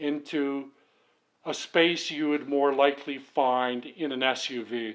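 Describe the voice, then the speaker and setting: A man talks with a fairly high pitch. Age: 60s. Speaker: channel owner, sewing machine restorer. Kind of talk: tutorial. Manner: casual, halting.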